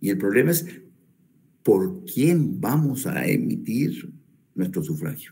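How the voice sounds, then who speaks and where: A man speaks at a very slow pace with vocal fry and very wide pitch swings, his voice carrying audible room echo. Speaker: law professor. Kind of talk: lecture. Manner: repetitive, stumbling restarts.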